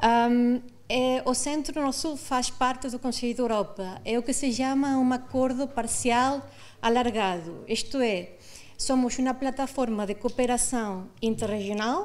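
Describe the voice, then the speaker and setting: A woman's high voice with a non-native accent and fairly even intonation, in audible room echo. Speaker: conference panelist, international organization official. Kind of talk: conference presentation. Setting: auditorium with audience. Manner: halting, many fillers.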